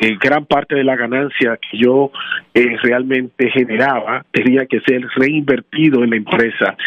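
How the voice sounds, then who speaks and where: Fairly even intonation and a medium pitch in a man's unremarkable speaking voice. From Dominican Republic, raised in Washington Heights, New York. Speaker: tax franchise founder. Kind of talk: interview.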